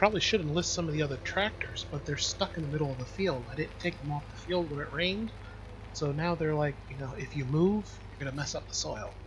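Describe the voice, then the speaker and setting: A man whispers quietly at a very fast pace. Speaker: video game streamer. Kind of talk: casual live gameplay commentary. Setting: home bedroom, live stream. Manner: whispering, quiet.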